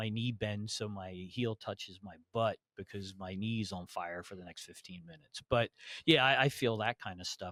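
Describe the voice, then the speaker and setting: A man with an American accent has an unremarkable speaking voice, fairly low in pitch with fairly even intonation. The sound is dry and close, with no echo. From New Jersey. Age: 60s. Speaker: HVAC educator. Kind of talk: casual interview chat. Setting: conference podcast recording.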